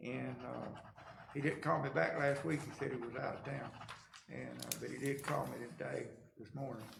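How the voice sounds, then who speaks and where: In a rural Georgia accent, the speech moves at a moderate pace with long, frequent pauses, audible room echo and noticeable background noise. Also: man. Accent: Southern US (rural Georgia). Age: 70s. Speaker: county commission chairman. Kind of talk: meeting discussion. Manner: casual, folksy.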